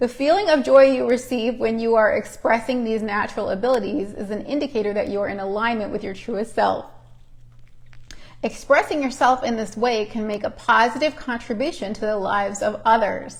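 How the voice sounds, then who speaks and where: Speaking fairly quickly, a woman uses ordinary pitch variation. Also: fairly high pitch for a woman. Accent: American. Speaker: oracle card reader, live streamer. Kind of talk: reads card text aloud, casual asides.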